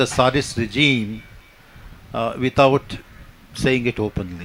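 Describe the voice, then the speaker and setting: With a Kannada accent, a man talks at a very slow pace in a medium pitch, his intonation fairly even. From India, Karnataka. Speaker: poet and playwright. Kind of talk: panel discussion. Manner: halting, many fillers.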